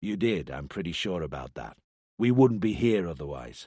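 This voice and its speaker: In a put-on character voice, a man growls at a very deep, low pitch and a moderate pace, with very wide pitch swings and big swings in loudness. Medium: read story. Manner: firm, direct, probing.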